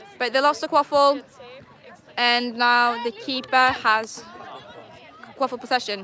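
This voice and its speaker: Against crowd noise in the background, a woman with a high pitch speaks at a fairly slow pace, her intonation fairly even and broken by long, frequent pauses. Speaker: quidditch match commentator. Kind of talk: live commentary. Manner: casual, hesitant.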